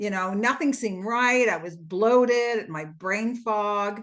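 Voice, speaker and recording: Here is a woman at a medium pitch. She has an ordinary speaking voice. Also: quiet background. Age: 60s. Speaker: retired fitness instructor. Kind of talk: testimony.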